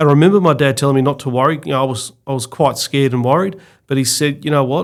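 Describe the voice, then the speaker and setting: Medium pitch and fairly even intonation from a man. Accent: Australian. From Victoria, Australia (Mornington Peninsula). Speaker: auctioneer and real estate executive. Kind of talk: interview.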